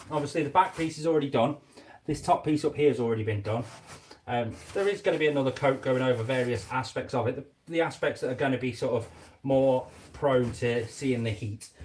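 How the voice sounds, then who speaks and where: A man with a somewhat breathy, medium-pitched voice talks at a fairly quick pace with ordinary pitch variation. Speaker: reptile keeper and YouTuber. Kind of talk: casual live stream commentary while working. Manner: quiet.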